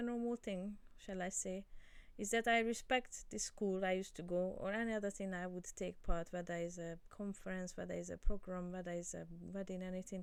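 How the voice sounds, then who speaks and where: A woman speaks with a Hungarian accent. Her pace is moderate. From Hungary. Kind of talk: informal Bible teaching talk. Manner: halting, with many fillers and repetitions.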